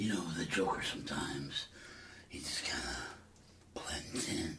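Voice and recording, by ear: A man's gravelly, put-on character voice, very deep and low in pitch, at a fairly slow pace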